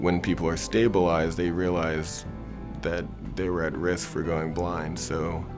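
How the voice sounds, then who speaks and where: A man's very deep, low voice at a fairly slow pace, ordinary pitch variation and clear music in the background. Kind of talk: interview answer. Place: studio. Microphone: lapel.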